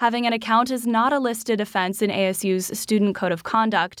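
In a very clean recording with a silent background, a woman talks at a moderate pace in a plain, everyday voice, fairly high in pitch with ordinary pitch variation. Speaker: radio reporter.

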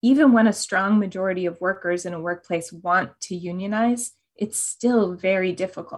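A woman talks at a moderate pace with hardly any pauses, in an unremarkable speaking voice of medium pitch. Her pitch varies in an ordinary way, and the background is quiet. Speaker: author and labor organizer.

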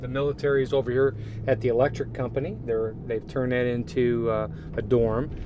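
With an American accent, a man speaks at a fairly quick pace and medium pitch, his intonation fairly even, over noticeable background noise. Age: 60s. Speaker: pastor running an orphanage. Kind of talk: interview. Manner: emotional, choking up; halting.

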